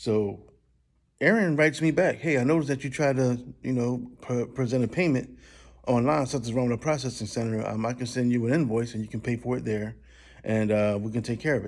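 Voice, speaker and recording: The recording is very clean, with a silent background. The delivery is fairly quick, with ordinary pitch variation. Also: man, medium pitch for a man. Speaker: customer complaint vlogger. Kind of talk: rant. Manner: fast; animated.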